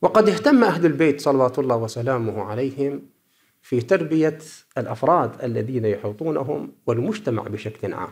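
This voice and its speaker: The pace is moderate, with lively intonation. It is a normal speaking voice. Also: man, medium pitch for a man. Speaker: cleric researcher. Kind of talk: conference paper presentation.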